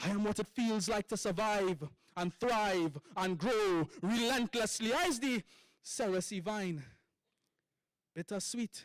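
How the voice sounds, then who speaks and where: A man with a Trinidadian accent and a high pitch speaks at a very slow pace with long, frequent pauses, very even loudness, and ordinary pitch variation, in a dry, close sound with no echo. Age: young. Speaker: poet. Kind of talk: poetry performance.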